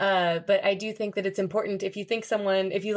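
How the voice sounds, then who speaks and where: With an American accent, a woman has an unremarkable speaking voice at medium pitch, moving at a fairly quick pace against a quiet background. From United States. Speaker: English teacher and podcast host. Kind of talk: casual interview. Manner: clear, upbeat.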